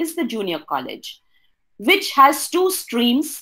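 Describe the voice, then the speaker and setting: Over a quiet background, a woman speaks very slowly at a high pitch, with very wide pitch swings. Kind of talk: presentation talk. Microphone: webcam.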